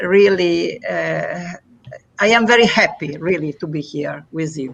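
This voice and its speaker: A woman speaks with an Italian accent. Her pace is very slow. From Italy. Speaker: poet and festival organizer. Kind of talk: casual live interview. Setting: online live stream. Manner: halting, many hesitations.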